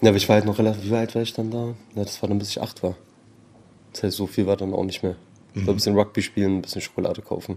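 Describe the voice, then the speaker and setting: A man speaks very fast, with long, frequent pauses breaking it up. His fairly low voice has a dark, mellow tone and flat, monotone intonation. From Berlin, Germany (born in Tehran). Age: 30s. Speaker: anti-racism trainer. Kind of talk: casual interview.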